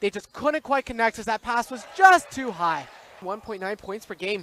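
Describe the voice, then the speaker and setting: Amid noticeable background noise, a man's raised, projected voice carries lively intonation in a dry, close sound with no echo. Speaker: sports commentator. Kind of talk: live basketball play-by-play commentary.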